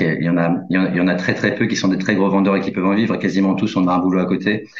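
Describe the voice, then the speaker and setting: A man's very deep, low-pitched voice in a room with audible echo. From rural France. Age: 40s. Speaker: journalist and crime novelist. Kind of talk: interview. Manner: halting, many fillers.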